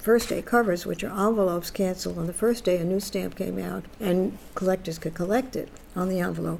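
There is noticeable background noise as a woman speaks with a New York accent. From New York City (Bronx). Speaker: feminist activist and collector. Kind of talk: interview.

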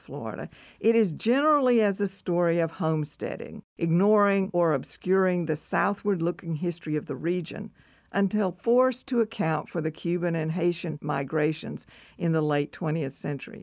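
A woman speaks at a moderate pace in an unremarkable speaking voice, her fairly low pitch carried by lively intonation. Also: very clean recording, silent background. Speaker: history professor. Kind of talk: reading aloud. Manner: formal.

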